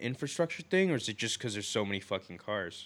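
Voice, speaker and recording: With a plain, everyday voice at medium pitch, a man speaks with lively intonation on a very clean recording with a silent background. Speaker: podcast co-host. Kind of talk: casual chat. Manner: rambling, filler words.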